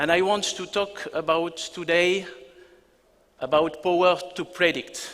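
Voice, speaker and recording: Over noticeable background noise, a man with a high pitch talks at a fairly slow pace in a monotone, flat intonation, leaving long, frequent pauses. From France. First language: French. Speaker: business executive. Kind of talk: keynote presentation. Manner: hesitant, many fillers.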